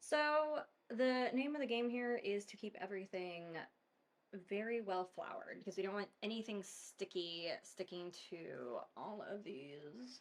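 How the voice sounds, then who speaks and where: With very wide pitch swings, a woman speaks at a fairly slow pace. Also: medium pitch for a woman. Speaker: mortician hosting a home cooking video. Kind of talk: casual cooking tutorial. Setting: home kitchen. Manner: chatty, filler-heavy (um, like).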